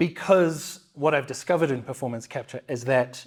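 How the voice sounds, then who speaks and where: The speaker has a New Zealand accent and ordinary pitch variation. The recording is very clean, with a silent background. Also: man. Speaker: motion capture performer and actor. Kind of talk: interview conversation. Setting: studio, in person.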